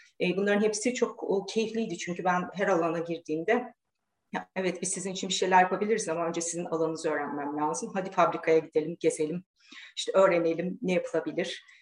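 Very fast speech from a woman with a fairly low voice and ordinary pitch variation. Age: 40s. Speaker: engineer and professor. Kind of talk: casual interview.

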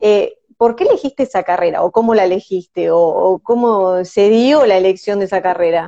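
A woman talks at a moderate pace and medium pitch. Her loudness stays very even, with ordinary pitch variation. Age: 30s. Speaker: live stream host. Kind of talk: interview.

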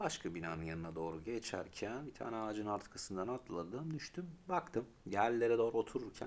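At a fairly quick pace, a man speaks at medium pitch with very wide pitch swings. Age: 30s. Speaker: podcast co-host. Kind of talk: casual chat. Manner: animated.

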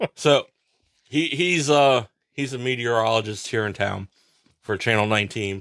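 With an American accent, a man talks at medium pitch and a moderate pace, with ordinary pitch variation, long, frequent pauses and a dry, close sound with no echo. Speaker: podcast co-host. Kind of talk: casual chat. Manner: loud talker.

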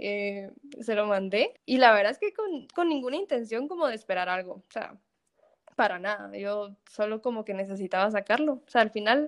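A woman with a fairly high pitch and lively intonation talks at a moderate pace. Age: 20s. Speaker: engineering student and small food business owner. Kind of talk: casual chat.

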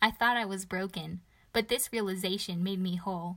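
In a very clean recording with a silent background, a woman with a bright, sharp tone and medium pitch speaks at a moderate pace with fairly even intonation. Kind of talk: spoken-word poem, performed devotional verse. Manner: rhythmic, rhyming cadence with heartfelt, reverent delivery; earnest, building to a hopeful, uplifting close.

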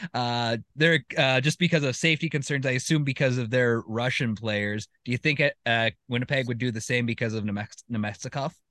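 A man speaking fairly quickly at a medium pitch with ordinary pitch variation and hardly any pauses, his tone bright and sharp, the sound dry and close with no echo, the background quiet. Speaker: podcast host. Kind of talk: casual sports podcast chat. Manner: stutters at times.

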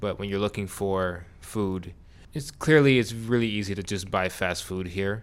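A man with a plain, everyday voice in an American accent, fairly low in pitch, with ordinary pitch variation at a moderate pace. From New York. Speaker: podcast co-host. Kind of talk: casual chat.

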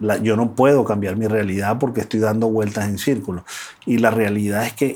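This man has an ordinary speaking voice, fairly low in pitch, with fairly even intonation at a moderate pace. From Venezuela. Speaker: life and business coach. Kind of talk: interview conversation. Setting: in-person studio.

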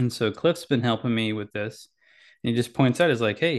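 Against a quiet background, a man speaks in a plain, everyday voice at medium pitch with ordinary pitch variation. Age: 40s. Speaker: podcaster, Navy veteran. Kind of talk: personal monologue.

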